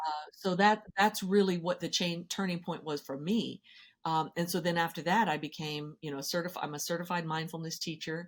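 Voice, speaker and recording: A woman with a normal speaking voice, fairly low in pitch, fairly even in intonation and fairly quick in pace, on a very clean recording with a silent background. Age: 60s. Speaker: financial therapy expert and educator. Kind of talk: podcast interview.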